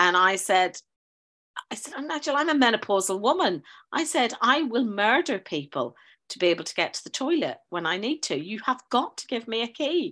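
Speaking fairly quickly with a Northern Irish accent, a woman uses a fairly high, bright, sharp voice whose pitch swings very widely and whose loudness rises and falls a lot, over a quiet background. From Northern Ireland. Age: 50s. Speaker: teacher. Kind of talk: casual chat. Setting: video call.

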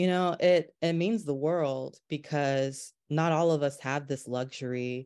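With an American accent, the speaker goes at a fairly slow pace with hardly any pauses. The background is quiet. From North Carolina. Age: 30s. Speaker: photographer. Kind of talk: interview conversation.

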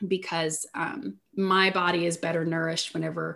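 The voice has a bright, sharp tone and an American accent. Its intonation stays fairly even. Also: woman. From Southeast Missouri, US. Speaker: life coach. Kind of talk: interview testimony.

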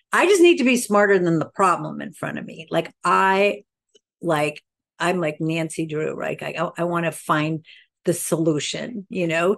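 A woman with an American accent and a fairly low pitch talks at a moderate pace with vocal fry and ordinary pitch variation. Her loudness swings widely against a quiet background. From Sweden, American parents from Queens. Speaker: cosmetics company founder, makeup artist. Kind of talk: interview.

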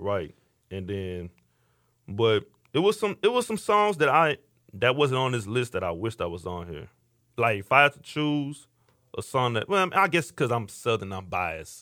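A man with an American accent at medium pitch, moderate pace, very wide pitch swings and long, frequent pauses, on a very clean recording with a silent background. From Houston, Texas (Missouri City). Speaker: podcast host. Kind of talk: casual chat. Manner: animated.

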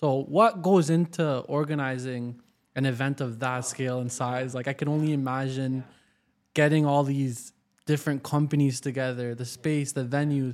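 In a very clean recording with a silent background, a man with a Canadian accent speaks at a fairly high pitch and a moderate pace, in an ordinary speaking voice. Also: fairly even intonation. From Waterloo, Ontario, Canada. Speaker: podcast host. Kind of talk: interview conversation.

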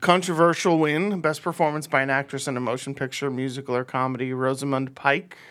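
A man with a plain, everyday voice, fairly high in pitch, fairly quick and with hardly any pauses, his intonation fairly even, on a very clean recording with a silent background. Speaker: podcast host. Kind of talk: casual banter. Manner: laughs often, jokey.

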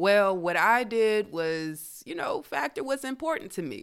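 A woman with an American accent speaks at a medium pitch with very wide pitch swings, on a very clean recording with a silent background. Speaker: wine podcast host. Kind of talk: casual monologue.

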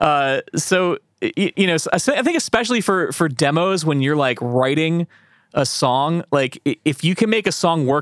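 With lively intonation and an American accent, a man in a plain, everyday voice speaks at a fairly high pitch, the sound dry and close with no echo. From rural central Pennsylvania. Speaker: podcast host. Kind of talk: casual interview.

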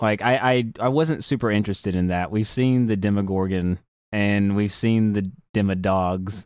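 On a very clean recording with a silent background, a man with an American accent speaks at a moderate pace in an unremarkable speaking voice, fairly low in pitch, with ordinary pitch variation and very even loudness. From rural US South. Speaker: podcast co-host. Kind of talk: casual chat.

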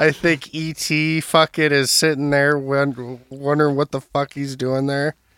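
A man with an Upper Midwest accent talks at a fairly slow pace and fairly high pitch, barely pausing. His intonation is monotone and flat, and the sound is dry and close with no echo. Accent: Upper Midwest American. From Minnesota, Burnsville. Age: 20s. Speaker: podcast co-host. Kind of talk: casual chat. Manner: halting.

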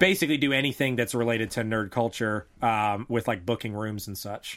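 A plain, everyday voice from a man, fairly quick in pace with fairly even intonation, in a very clean recording with a silent background. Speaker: gaming shop co-owner. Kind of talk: casual chat.

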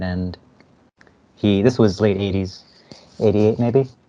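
A man with an American accent speaks in a normal speaking voice at a moderate pace, with ordinary pitch variation over a quiet background. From New Jersey. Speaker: filmmaker. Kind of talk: interview.

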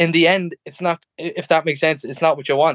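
A man in an Irish Midlands accent talks at a fairly quick pace. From Ireland, Tullamore area. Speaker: professional MMA fighter. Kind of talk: interview. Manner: halting.

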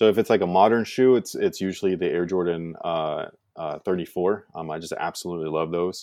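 A man speaks with a very deep, low pitch and fairly even intonation. The recording is very clean, with a silent background. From US West Coast, San Francisco Bay Area. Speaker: YouTuber, sneaker reviewer. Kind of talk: casual interview chat.

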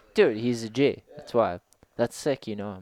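A man's fairly low voice, a normal speaking voice with ordinary pitch variation, comes through dry and close with no echo. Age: 30s. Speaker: skateboarder and skate instructor. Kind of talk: casual chat.

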